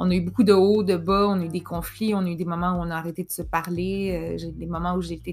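Over noticeable background noise, a woman with a Quebec accent talks fairly quickly with hardly any pauses. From Quebec, Montreal. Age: 30s. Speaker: podcast host, mental health worker. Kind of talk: personal storytelling monologue.

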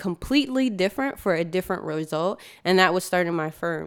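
In an ordinary speaking voice, a woman with an American accent talks at a fairly quick pace and medium pitch on a very clean recording with a silent background. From New York, then Georgia. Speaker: architect and studio founder. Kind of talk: interview.

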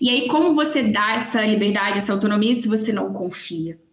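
Using a normal speaking voice, a woman talks at a moderate pace and a fairly high pitch. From Belo Horizonte, Minas Gerais. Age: 30s. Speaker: marketing agency founder. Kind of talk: casual chat.

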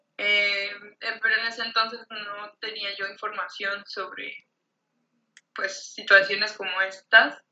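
A woman's medium-pitched voice at a very slow pace, monotone and flat, with big swings in loudness and music in the background. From Mexico. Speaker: artist. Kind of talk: casual chat.

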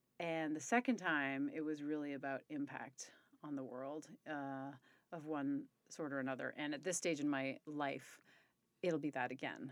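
A woman with a very deep, low pitch speaks at a moderate pace in a fairly even intonation. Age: 40s. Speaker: company executive. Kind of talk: casual interview conversation.

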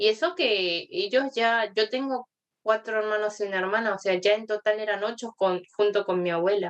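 Fairly high-pitched and at a moderate speed, a woman's plain, everyday voice. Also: ordinary pitch variation. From Argentina. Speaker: guest. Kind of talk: casual chat.

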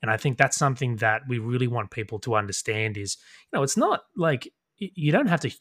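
A man with an Australian accent speaks at a medium pitch and a fairly quick pace with ordinary pitch variation. The sound is dry and close with no echo, in a very clean recording with a silent background. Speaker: podcast co-host, tabletop gamer. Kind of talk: casual chat.

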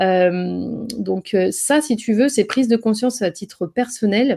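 A woman's fairly high voice with a dark, mellow tone and ordinary pitch variation, on a very clean recording with a silent background. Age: 30s. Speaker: entrepreneur, business founder. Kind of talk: interview conversation. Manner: halting, many fillers.

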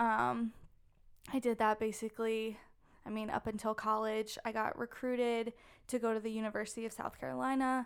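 A woman talks at a moderate pace in a fairly high pitch with monotone, flat intonation. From southern Maryland. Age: 20s. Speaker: former college soccer player and CrossFit athlete. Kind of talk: interview. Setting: studio.

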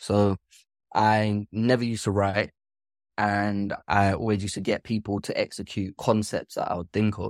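In a very clean recording with a silent background and a dry, close sound with no echo, a man speaks at a fairly slow pace and fairly low pitch, his intonation monotone and flat. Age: 30s. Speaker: filmmaker. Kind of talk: interview.

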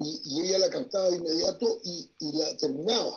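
This man speaks at a moderate pace in a high pitch for a man, with lively intonation. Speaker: writer and tarot reader. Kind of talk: panel discussion.

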